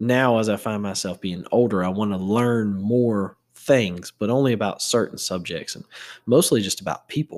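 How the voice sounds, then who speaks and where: In an ordinary speaking voice, a man talks at a moderate pace with fairly low pitch and ordinary pitch variation on a very clean recording with a silent background. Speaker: podcast host. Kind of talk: casual solo chat. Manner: casual, joking, profane.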